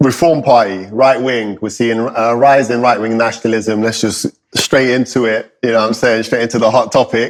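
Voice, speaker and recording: With a London accent, a man speaks in a flat monotone, leaving hardly any pauses. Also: medium pitch for a man, moderate pace. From London, England. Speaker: podcast co-host. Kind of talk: casual chat.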